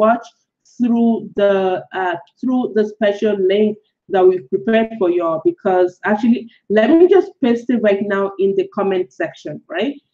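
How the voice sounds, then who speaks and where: A woman's fairly high-pitched voice, dark and mellow in tone, with lively intonation, a moderate pace and a Nigerian accent. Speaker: blogger and online course creator. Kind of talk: live webinar. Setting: live-streamed webinar, currently in Colombia. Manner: casual, filler-heavy.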